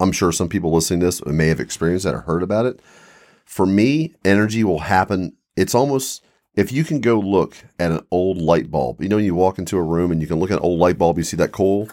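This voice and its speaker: On a very clean recording with a silent background, a man with an American accent and a very deep, low pitch talks at a fairly quick pace with lively intonation. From Mid-Atlantic US, Eastern Shore of Maryland/Virginia. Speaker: paranormal enthusiast, expedition companion. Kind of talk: casual chat.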